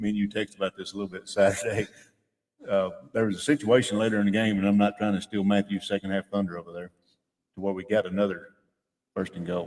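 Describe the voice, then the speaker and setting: Speaking in a Tennessee accent, a man uses a fairly low pitch and a very fast pace. Long pauses come often. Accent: Southern US (Tennessee). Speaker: radio sports commentator. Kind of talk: casual chat. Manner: loud.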